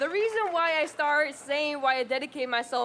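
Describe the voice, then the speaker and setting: Lively intonation in a Spanish accent. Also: woman. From Honduras. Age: 20s. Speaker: community organizer. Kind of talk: rally speech. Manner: animated.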